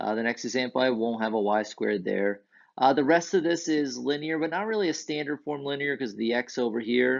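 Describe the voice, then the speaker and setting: With lively intonation and a medium pitch, a man talks in an unremarkable speaking voice. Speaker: math teacher. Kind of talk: lecture.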